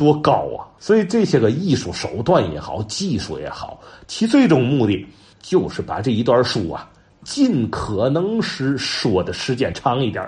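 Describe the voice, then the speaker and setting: A man speaks at a medium pitch with vocal fry. His pitch swings very widely. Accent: Tianjin. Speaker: folk storytelling enthusiast and commentator. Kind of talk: informal talk on storytelling history. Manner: animated, conversational with many fillers.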